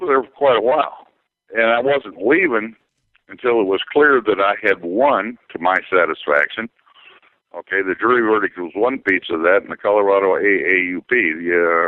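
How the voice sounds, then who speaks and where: At a fairly quick pace, a man talks in an ordinary speaking voice, fairly low in pitch with ordinary pitch variation. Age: 60s. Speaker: scholar and activist. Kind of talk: interview.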